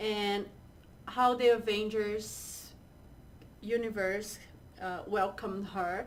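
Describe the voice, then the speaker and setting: With a Portuguese accent, a woman speaks at a fairly high pitch with fairly even intonation. Audible room echo is present. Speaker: co-host. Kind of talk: casual chat.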